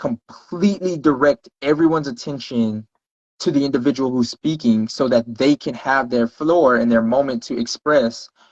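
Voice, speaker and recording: A man with a normal speaking voice talks at a moderate pace and fairly high pitch with ordinary pitch variation, the sound dry and close with no echo. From Texas, Houston. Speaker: podcast guest. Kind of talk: casual chat.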